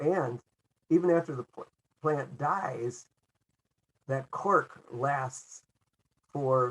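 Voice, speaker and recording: The voice is somewhat breathy, moving at a very slow pace with fairly even intonation. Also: man. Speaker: webinar presenter. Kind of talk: webinar presentation. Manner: halting, with repetitions.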